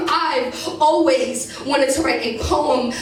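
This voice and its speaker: A woman speaks in a high voice. Noticeable background noise can be heard. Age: young. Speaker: spoken word poet. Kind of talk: spoken word poetry performance.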